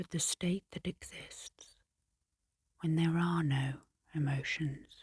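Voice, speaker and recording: Speaking at a very slow pace with long, frequent pauses, a woman uses a fairly low, somewhat breathy voice and a calm tone. Her intonation stays fairly even, and the sound is dry and close with no echo. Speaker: hypnotherapist and clinical psychologist. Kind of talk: ASMR sleep hypnosis narration. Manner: soft-spoken, calm, slow.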